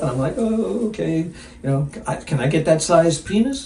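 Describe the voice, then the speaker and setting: With very wide pitch swings, a man talks at a moderate pace over noticeable background noise. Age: 70s. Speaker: firefighter. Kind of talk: interview answer. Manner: casual, candid.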